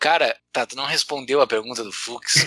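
In an unremarkable speaking voice, a man talks at a moderate pace with ordinary pitch variation, the sound dry and close with no echo. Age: 30s. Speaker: podcast host. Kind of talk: casual chat.

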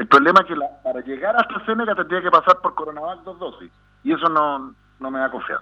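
Very fast speech from a man, lively in intonation. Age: 50s. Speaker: psychiatrist. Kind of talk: radio interview. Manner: halting.

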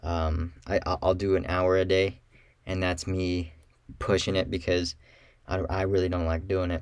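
The recording is very clean, the background silent. A man speaks with a very deep, low pitch and fairly even intonation. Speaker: solo podcast host and realtor. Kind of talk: solo podcast monologue. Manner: monotone; halting, many fillers.

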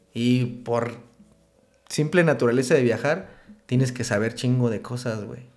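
In a Mexican accent, a man at medium pitch speaks fairly slowly with fairly even intonation and long, frequent pauses, amid audible room echo. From Michoacán, Mexico (Uruapan). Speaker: tattoo artist. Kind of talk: casual chat.

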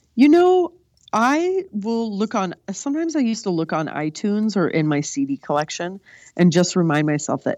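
Very wide pitch swings from a woman with an American accent, in a dry, close sound with no echo over a quiet background. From California. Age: 20s. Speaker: comedic performer. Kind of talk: casual chat. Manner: animated.

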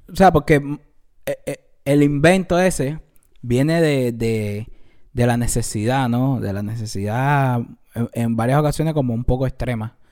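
A man speaks at a fairly slow pace with ordinary pitch variation. His speech has long, frequent pauses. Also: medium pitch for a man, very clean recording, silent background. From Cuba. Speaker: podcast co-host. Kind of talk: casual chat.

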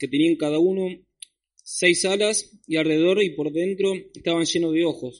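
A man talks at a fairly slow pace in a high pitch. The background is quiet. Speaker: scripture reader. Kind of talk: reading aloud. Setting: church.

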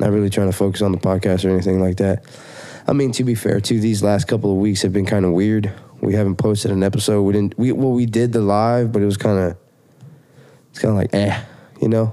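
Against noticeable background noise, a man talks at a very fast pace in a fairly low, monotone, flat voice. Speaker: podcast host. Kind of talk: casual chat.

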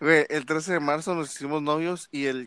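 The man's pitch is fairly high and his intonation fairly even, in a normal speaking voice at a fairly slow pace. The recording is very clean with a silent background and a dry, close sound with no echo. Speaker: podcast co-host, student. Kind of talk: casual chat.

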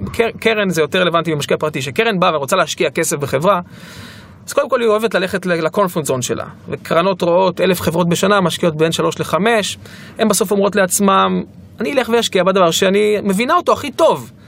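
With noticeable background noise behind him, a man talks at a fairly quick pace in a high pitch, keeping his loudness very even and his pitch variation ordinary. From Israel, Ashdod. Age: 30s. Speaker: startup founder and CEO. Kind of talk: interview. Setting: studio.

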